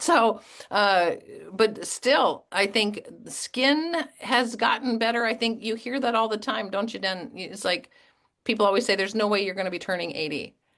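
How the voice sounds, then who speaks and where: A woman's unremarkable speaking voice, fairly high in pitch with ordinary pitch variation, at a moderate pace against a quiet background. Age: 50s. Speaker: network marketing team leader hosting a call. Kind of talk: online group call interview.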